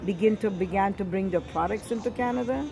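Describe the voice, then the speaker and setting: A woman with an Italian accent speaks at medium pitch and a moderate pace, with ordinary pitch variation. Noticeable background noise runs underneath. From Sicily, Italy. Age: 70s. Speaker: grandmother telling family history. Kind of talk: oral history interview.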